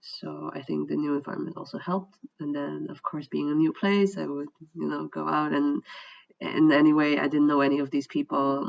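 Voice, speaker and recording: Someone with a Dutch accent speaks at a fairly quick pace. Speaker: vlogger. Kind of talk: personal testimony. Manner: hesitant, many fillers.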